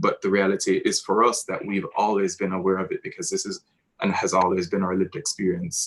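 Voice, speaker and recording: A man with a Jamaican accent talks at a fairly quick pace. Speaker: theatre director. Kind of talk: post-show talkback. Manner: halting.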